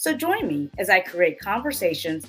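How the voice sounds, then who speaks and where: A woman's medium-pitched voice with an American accent at a moderate pace over music in the background. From Southern United States. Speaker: cookbook author and food blogger; podcast host. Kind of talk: podcast intro. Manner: upbeat.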